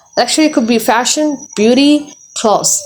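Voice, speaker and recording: A woman with a non-native accent speaks at a moderate pace with ordinary pitch variation. Noticeable background noise is present. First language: not English. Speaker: tarot reader. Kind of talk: tarot reading monologue. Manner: halting, many fillers and repetitions.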